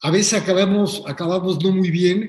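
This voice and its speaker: Here a man talks in a Mexican accent at a high pitch. His pace is moderate and his intonation fairly even. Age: 70s. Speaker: filmmaker. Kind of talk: casual chat. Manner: halting, repetitive.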